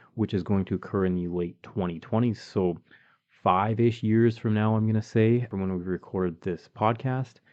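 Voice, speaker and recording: At a moderate pace, a man uses a normal speaking voice with a fairly low pitch and ordinary pitch variation. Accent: Canadian. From Canada (Calgary, Alberta). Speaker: podcast co-host. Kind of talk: casual chat. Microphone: new microphone.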